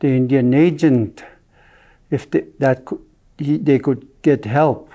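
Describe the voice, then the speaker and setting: Dark, mellow tone with ordinary pitch variation at a fairly slow pace. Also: man. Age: 70s. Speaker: First Nation elder. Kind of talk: oral history telling. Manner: halting, with hesitations.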